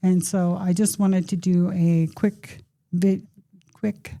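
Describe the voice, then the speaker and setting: With a dark, mellow tone that is somewhat breathy, a woman speaks at a fairly low pitch and a very slow pace. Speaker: podcast host. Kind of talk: casual monologue. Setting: podcast studio.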